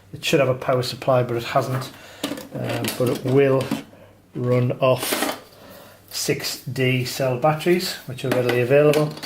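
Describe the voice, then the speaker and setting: The speech moves at a fairly slow pace with long, frequent pauses over noticeable background noise. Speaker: vintage gear reviewer. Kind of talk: product demonstration. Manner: hesitant, many fillers.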